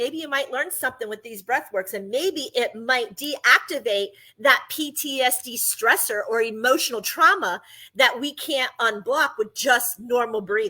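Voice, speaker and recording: On a very clean recording with a silent background, a woman with a high pitch and a bright, sharp tone talks at a moderate pace with lively intonation and big swings in loudness. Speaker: podcast host. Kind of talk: podcast monologue on breathing and chakras.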